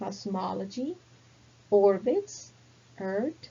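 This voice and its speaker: Speaking with a non-native accent, someone talks very slowly. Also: woman. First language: not English. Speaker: English teacher. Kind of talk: language lesson. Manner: slow, deliberate word list for repetition.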